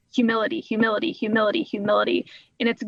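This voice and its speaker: This woman has an unremarkable speaking voice, pitched fairly high. She speaks with an American accent and fairly even intonation. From Oklahoma. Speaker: nonprofit fundraiser and speaker. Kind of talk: podcast interview.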